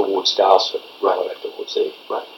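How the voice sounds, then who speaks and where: A speaker with an Australian accent talks over noticeable background noise. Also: man. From Victoria, Australia (Castlemaine area). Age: 70s. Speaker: retired footballer. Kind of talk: oral history interview. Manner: halting.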